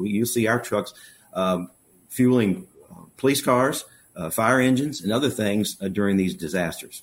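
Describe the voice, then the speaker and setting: A man with an American accent uses a normal speaking voice, fairly low in pitch with ordinary pitch variation, on a very clean recording with a silent background. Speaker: local business executive. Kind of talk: interview.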